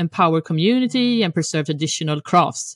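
A woman in a Swedish accent, medium in pitch with lively intonation, in a dry, close sound with no echo and a quiet background. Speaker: podcast host. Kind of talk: casual interview chat.

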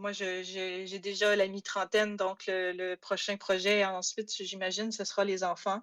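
A woman's medium-pitched voice, monotone and flat, at a very slow pace with hardly any pauses, on a very clean recording with a silent background. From Quebec, Saguenay. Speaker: history PhD student. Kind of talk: interview. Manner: halting.

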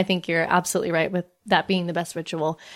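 In a Canadian accent, a woman speaks at a very fast pace, recorded very cleanly with a silent background. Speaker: podcast host. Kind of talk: casual chat.

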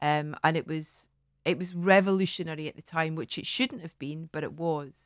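A woman with a Scottish accent at a moderate pace, ordinary pitch variation, and a dry, close sound with no echo. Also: fairly low pitch for a woman, big swings in loudness. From Scotland. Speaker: TV presenter. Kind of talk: casual chat.

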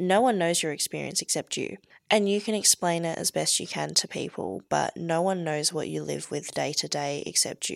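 A woman speaks with an Australian accent. The recording is very clean and dry, close with no echo and a silent background. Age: 20s. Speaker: breast reduction patient sharing lived experience. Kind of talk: casual interview.

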